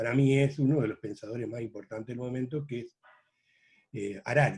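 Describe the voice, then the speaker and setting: The voice has a dark, mellow tone, sounds somewhat breathy, and shows ordinary pitch variation. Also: man. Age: 70s. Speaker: veteran journalist. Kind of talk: interview.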